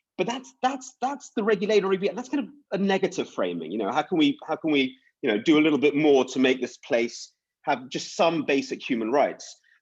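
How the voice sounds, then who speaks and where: Over a quiet background, a man with fairly high pitch speaks at a fairly quick pace. His voice has vocal fry and very wide pitch swings. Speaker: panel speaker. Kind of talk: panel discussion. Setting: conference panel. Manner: fast.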